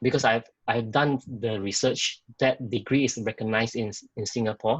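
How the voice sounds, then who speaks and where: The man's voice is somewhat breathy, medium in pitch, with fairly even intonation and a moderate pace, recorded dry and close with no echo. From Malaysia, small village. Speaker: sales manager. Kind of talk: interview. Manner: halting.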